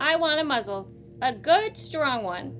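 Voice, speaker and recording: At a moderate pace, a woman does a put-on character voice at high pitch, with clear background noise. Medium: read story. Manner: prim, bossy.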